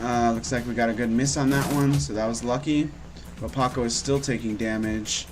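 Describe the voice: The passage is read aloud plainly.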